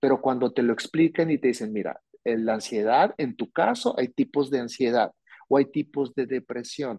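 Here is a man with a medium-pitched voice. His tone is dark and mellow. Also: ordinary pitch variation, moderate pace. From Mexico, Hermosillo, Sonora. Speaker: psychologist. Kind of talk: interview on mental health. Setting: remote recording, host in another city.

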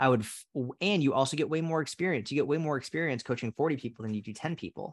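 In an American accent, a man speaks at a very fast pace with a fairly high pitch. Behind him the background is quiet. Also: ordinary pitch variation. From Massachusetts (Boston area). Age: 30s. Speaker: fitness coach. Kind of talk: casual interview chat.

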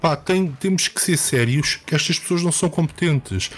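Over noticeable background noise, a man speaks at a high pitch and a moderate pace. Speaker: football podcast co-host. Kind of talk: casual chat.

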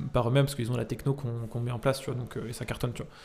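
A man with a medium-pitched voice and vocal fry. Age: 20s. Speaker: entrepreneur. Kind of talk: casual interview. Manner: casual, many fillers.

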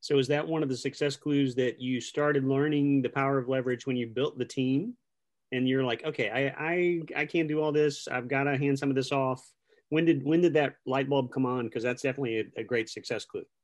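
A man's plain, everyday voice at a fairly high pitch and a fairly quick pace. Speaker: real estate podcast host. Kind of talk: casual interview chat. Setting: video call. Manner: upbeat, friendly.

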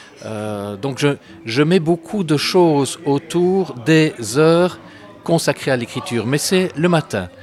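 The speech moves at a very slow pace with lively intonation, over noticeable background noise. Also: man, fairly high pitch for a man. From Belgium, Brussels. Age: 60s. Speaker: author and historian, former school principal. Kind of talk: interview. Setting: café. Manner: hesitant, many filler sounds and repeated words.

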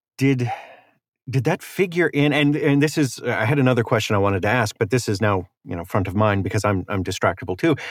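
On a very clean recording with a silent background, a man with an ordinary speaking voice talks at a medium pitch. His pace is fairly quick. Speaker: podcast host. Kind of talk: casual interview chat. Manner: casual, joking, friendly.

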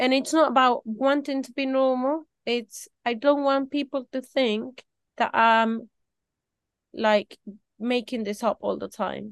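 At a fairly slow pace, a woman speaks in a high pitch with fairly even intonation. The sound is dry and close with no echo, over a quiet background. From tropical country. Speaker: small business owner. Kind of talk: interview. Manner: halting.

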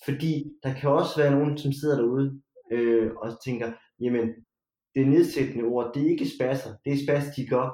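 Fairly high male voice with a dark, mellow tone, moderate pace and monotone, flat intonation. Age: 30s. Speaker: podcast guest. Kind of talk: casual chat. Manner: halting.

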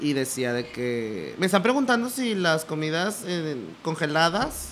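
A man with a Mexican accent, at a very slow pace, with very wide pitch swings. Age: 20s. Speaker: podcast co-host, video producer and voice actor. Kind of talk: casual chat.

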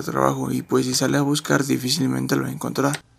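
Noticeable background noise sits behind the recording. A man talks at a very fast pace. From Colombia, Pasto (Nariño). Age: young. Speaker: university student. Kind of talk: interview. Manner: formal.

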